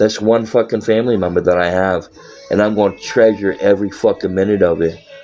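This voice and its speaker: Over music in the background, a man with an American accent talks very fast in an animated tone. His fairly low voice holds a very even loudness. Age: 30s. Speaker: live streamer. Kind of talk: casual live-stream monologue. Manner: animated, heavy swearing.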